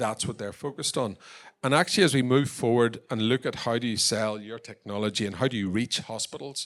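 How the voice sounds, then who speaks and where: Ordinary pitch variation carries this fairly quick delivery on a very clean recording with a silent background. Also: man, medium pitch for a man. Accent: Northern Irish. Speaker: tech company founder and export champion. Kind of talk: conference presentation.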